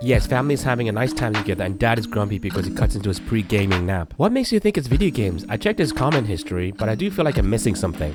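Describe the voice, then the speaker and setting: A man with a fairly low voice talks at a very fast pace with lively intonation and hardly any pauses, with music in the background. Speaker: reddit story reader and commentator. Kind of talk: reading aloud. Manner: gets loud when excited.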